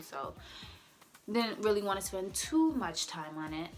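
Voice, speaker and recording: Music runs in the background. Over it, a woman talks at a moderate pace. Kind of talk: casual talk to camera.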